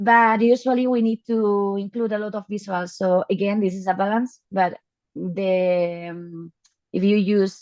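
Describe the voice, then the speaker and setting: Here a woman speaks with a Spanish accent. Her pace is fairly slow. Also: medium pitch for a woman, fairly even intonation. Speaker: data visualization specialist. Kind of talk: Q&A answers in online talk. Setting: online video meeting. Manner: halting.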